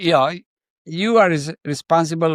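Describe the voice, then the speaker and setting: Here a man speaks at a fairly quick pace in a high pitch, with ordinary pitch variation. The sound is dry and close, with no echo. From India, Kanpur. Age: 80s+. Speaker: entrepreneur and investor. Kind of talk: interview. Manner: halting, many repetitions.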